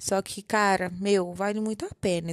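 A woman's medium-pitched voice with fairly even intonation, dry and close with no echo, in a very clean recording with a silent background. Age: 20s. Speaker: podcaster, journalism student. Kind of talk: personal monologue. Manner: casual, halting.

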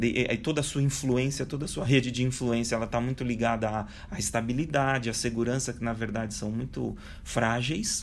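The pitch rises and falls in an ordinary way. Room echo can be heard. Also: man. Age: 40s. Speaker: speaker on digital transformation. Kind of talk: interview.

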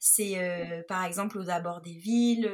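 A woman's somewhat breathy voice keeps a fairly even intonation. The recording is very clean, with a silent background. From Nice, southern France. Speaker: photographer and travel blogger. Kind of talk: interview, personal travel account. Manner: hesitant, with many fillers.

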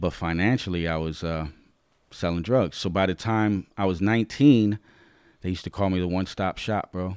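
A man with an American accent, a very deep, low pitch and ordinary pitch variation at a moderate pace, in a very clean recording with a silent background. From New York, the Bronx. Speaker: former drug dealer turned motivational speaker. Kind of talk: casual interview storytelling. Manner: animated.

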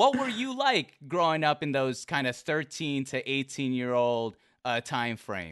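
A man with an American accent speaks fairly slowly in an ordinary speaking voice, with a fairly high pitch and lively intonation over a quiet background. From US Pacific Northwest. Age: 20s. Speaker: stream interview show host. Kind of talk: casual interview chat. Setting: live stream.

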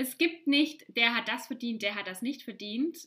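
A woman's high-pitched, raised and projected voice, animated and bright and sharp in tone, with lively intonation. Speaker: podcast host, life coach. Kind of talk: solo podcast monologue.

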